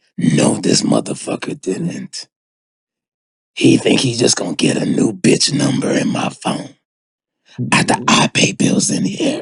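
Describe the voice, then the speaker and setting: Using a raspy, put-on character voice, a man speaks at a moderate pace with long, frequent pauses, the sound dry and close with no echo. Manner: furious, outraged, sassy.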